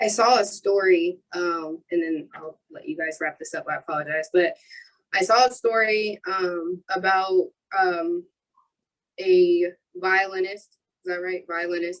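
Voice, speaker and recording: Using an ordinary speaking voice with an American accent, a woman speaks at a fairly slow pace in a medium pitch, with ordinary pitch variation and big swings in loudness. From Ohio (Marion). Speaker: youth mentoring business owner. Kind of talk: panel discussion.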